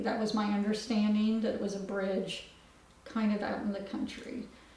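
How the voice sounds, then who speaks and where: A woman speaks at a fairly high pitch. Audible room echo and noticeable background noise surround her. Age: 60s. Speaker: adoptive mother. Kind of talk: documentary interview. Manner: halting.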